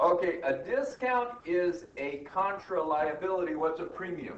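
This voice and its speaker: A man with a Southern US accent, audible room echo and noticeable background noise. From US South. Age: old. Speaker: accounting professor. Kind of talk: lecture. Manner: animated.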